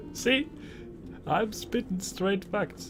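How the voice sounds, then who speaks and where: A man's very slow speech over music in the background. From Netherlands. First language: Dutch. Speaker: streamer. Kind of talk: live stream chat while gaming. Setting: live stream. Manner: casual, animated.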